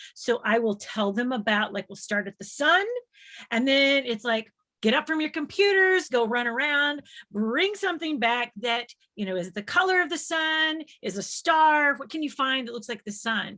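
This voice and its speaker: With an American accent, a woman projects a raised, high-pitched voice, bright and sharp in tone, animated, with very wide pitch swings. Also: moderate pace. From US South, Nashville, Tennessee. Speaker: space organization executive and science educator. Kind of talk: casual chat before a live webinar.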